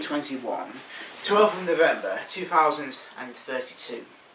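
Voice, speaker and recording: Noticeable background noise sits behind a man's high voice. He speaks at a fairly slow pace with lively intonation. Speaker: amateur storyteller. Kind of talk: read sci-fi story. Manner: mumbly, quiet.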